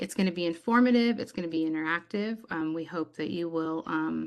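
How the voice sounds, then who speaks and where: A woman's normal speaking voice, fairly low in pitch, at a moderate pace with ordinary pitch variation, against a quiet background. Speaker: webinar host, science applications coordinator. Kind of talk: online meeting announcements. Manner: many filler ums.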